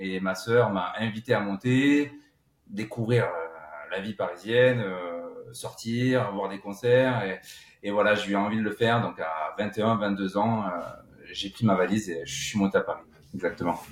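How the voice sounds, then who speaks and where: Taking a fairly slow pace, a man varies his pitch in an ordinary way. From southern France, Cévennes (Gard). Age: 30s. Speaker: session drummer and composer. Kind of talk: interview.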